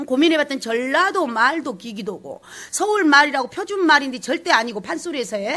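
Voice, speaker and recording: A woman's raised, projected voice, high in pitch, with very wide pitch swings at a fairly quick pace. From South Jeolla, Sinan island. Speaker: pansori teacher. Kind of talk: lecture. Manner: animated.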